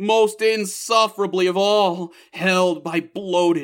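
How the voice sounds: The speaker uses a natural reading voice. It stays that way across the clip.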